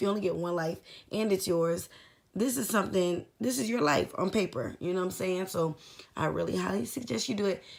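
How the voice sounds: Putting on a character voice, a woman talks in a raspy tone at medium pitch and a fairly quick pace.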